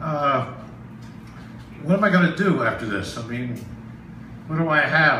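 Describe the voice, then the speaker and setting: A man's fairly high-pitched voice with ordinary pitch variation, audible room echo and noticeable background noise. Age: 70s. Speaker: amateur stand-up comedian. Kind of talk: stand-up. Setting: stage with audience. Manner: halting, many fillers.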